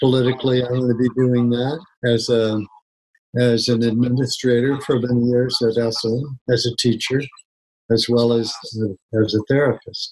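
Over a quiet background, a man talks at a moderate pace in a monotone, flat intonation with very even loudness. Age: 70s. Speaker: psychotherapist and keynote speaker; keynote speaker. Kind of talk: interview. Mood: relaxed, reflective. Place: home room. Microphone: webcam.

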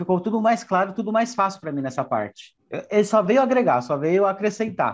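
This clip features a man speaking. The background is quiet. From Guarulhos, São Paulo, Brazil; São Paulo, Brazil. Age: 30s. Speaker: business owner in public tenders, course student. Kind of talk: testimonial interview. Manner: casual with frequent fillers. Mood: pleased, upbeat. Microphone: earbuds.

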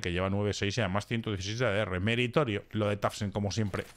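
The tone is animated, and the recording is very clean against a silent background. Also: man. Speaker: esports commentator. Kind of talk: live esports commentary. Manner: animated, excitable.

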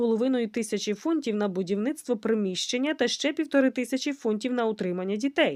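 A natural voice reads the passage aloud.

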